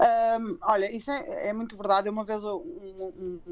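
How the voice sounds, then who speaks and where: Medium-pitched female voice over background music. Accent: Porto. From Porto, northern Portugal. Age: 30s. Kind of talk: radio interview. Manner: hesitant with frequent fillers and repetitions.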